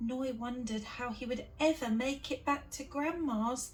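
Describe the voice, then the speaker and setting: Music plays in the background. A woman talks in a high voice with a British accent. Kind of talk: children's picture book read-aloud.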